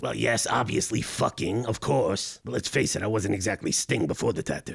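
Talking at a fairly quick pace, a man uses a cartoonish character voice pitched fairly low. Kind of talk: comedic podcast banter. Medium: puppet. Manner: exasperated, profane.

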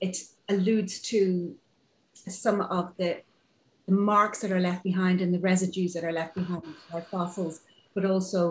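Somewhat breathy, a woman speaks at a moderate pace. Her intonation is fairly even. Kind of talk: interview answer. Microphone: video call.

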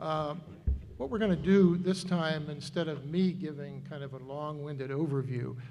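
A man speaks with a dark, mellow tone at a fairly high pitch, somewhat breathy. His intonation stays fairly even, and audible room echo surrounds him. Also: moderate pace. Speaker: finance committee member. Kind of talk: public meeting presentation. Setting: town meeting hall with microphones.

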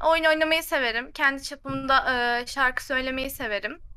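Her voice raised and projected, a woman speaks at a fairly slow pace. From Turkey. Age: 20s. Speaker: recent chemical engineering graduate; guest. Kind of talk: casual chat. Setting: video call. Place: home room.

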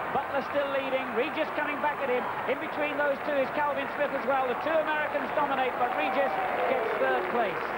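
Fairly quick speech under loud background noise. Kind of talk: live sports commentary. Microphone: headset.

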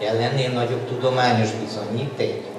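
A man's voice comes with audible room echo. Noticeable background noise sits behind it. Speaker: speaker. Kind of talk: panel talk to audience. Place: hall.

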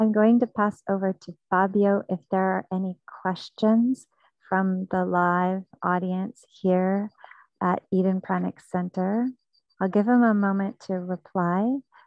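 The speech comes at a fairly slow pace with fairly even intonation, in a dry sound with no echo against a quiet background. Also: woman. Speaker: festival host. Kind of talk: live event hosting. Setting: outdoors. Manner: slow with pauses. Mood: warm, smiling, grateful. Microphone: earbuds.

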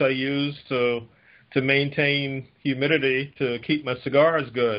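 A man with an American accent speaks at a fairly slow pace. His intonation is monotone and flat. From South Florida. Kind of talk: conference call discussion. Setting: phone call. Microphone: phone line.

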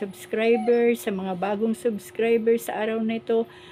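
Noticeable background noise sits behind speech delivered at a moderate pace in a flat monotone. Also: woman. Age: 60s. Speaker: vlogger. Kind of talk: casual vlog monologue. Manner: hesitant, frequent fillers.

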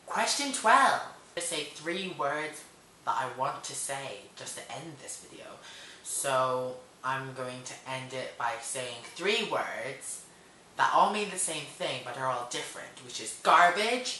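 A man speaks very slowly in a fairly high voice, his loudness swinging widely and his intonation lively. Room echo is audible, with light background noise. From Hong Kong. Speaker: vlogger. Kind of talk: casual talk to camera. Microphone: webcam.

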